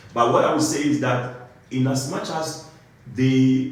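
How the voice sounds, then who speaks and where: A man with an African accent, medium pitch and ordinary pitch variation, plus audible room echo and noticeable background noise. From Ghana. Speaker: compliance engineer. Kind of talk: interview. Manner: halting, many fillers and restarts.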